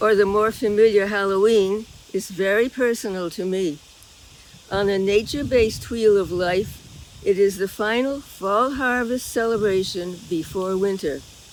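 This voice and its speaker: A woman's fairly slow speech, with ordinary pitch variation, comes through noticeable background noise. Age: 90s. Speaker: lay speaker at a church service. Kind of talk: reflection talk in a worship service.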